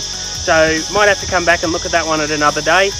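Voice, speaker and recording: A man speaks at a moderate pace with ordinary pitch variation and a dry sound with no echo. Clear music plays in the background. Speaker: travel vlogger. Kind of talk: casual vlog chat. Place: open country. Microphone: phone near.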